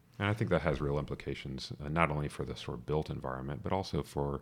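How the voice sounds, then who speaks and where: With vocal fry, a man talks at a very fast pace. His pitch is very deep and low, with ordinary pitch variation. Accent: American. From US South, metro Atlanta, Georgia. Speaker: urban designer. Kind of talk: casual interview.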